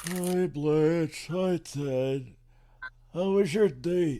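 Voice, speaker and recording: A man speaks very slowly in a put-on character voice. His pitch is high. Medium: comedy sketch. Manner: slow, simple, rambling.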